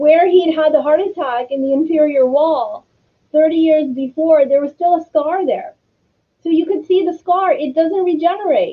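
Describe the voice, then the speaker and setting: Over music in the background, a woman speaks with an American accent at a high pitch. Her pace is moderate and her pitch variation ordinary. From United States. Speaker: cardiologist and scientist. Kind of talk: interview.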